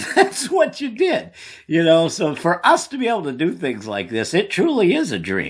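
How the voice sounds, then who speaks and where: Very clean recording with a silent background, of a man with an American accent at a moderate pace. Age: 60s. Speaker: sports show host. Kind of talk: casual chat.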